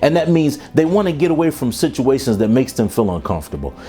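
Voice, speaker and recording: Energetic in tone, a man speaks with lively intonation and a fairly high pitch. Music plays in the background. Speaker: keynote speaker and professional development trainer. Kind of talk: keynote talk to a professional audience. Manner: energetic, conversational, motivational.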